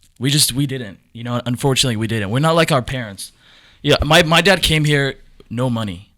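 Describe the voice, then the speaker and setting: Bright and sharp in tone, the voice moves at a fairly quick pace on a very clean recording with a silent background. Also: man, medium pitch for a man, ordinary pitch variation. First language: not English. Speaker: young entrepreneur. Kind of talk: podcast conversation. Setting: studio.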